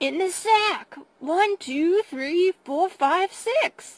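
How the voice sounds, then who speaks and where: In a put-on character voice, a woman speaks at a very slow pace with an extremely high pitch. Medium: read story. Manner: gloating, chuckling.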